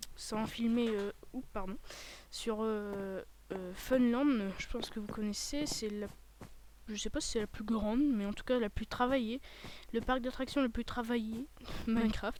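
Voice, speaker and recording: Fairly slow, fairly even speech broken by long, frequent pauses. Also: woman, fairly high pitch for a woman. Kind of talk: casual video game commentary. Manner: hesitant, rambling.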